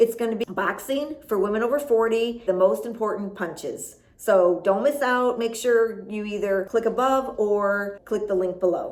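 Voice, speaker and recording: With an American accent and a fairly high pitch, a woman speaks at a moderate pace with ordinary pitch variation and hardly any pauses. Noticeable background noise is audible. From US Midwest, Chicago. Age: 50s. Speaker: boxing fitness coach. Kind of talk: motivational vlog. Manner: animated.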